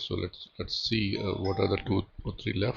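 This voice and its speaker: A man talks at a fairly slow pace in a fairly low, somewhat breathy voice. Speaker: data analytics tutor. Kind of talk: tutorial. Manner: halting, many repetitions and fillers.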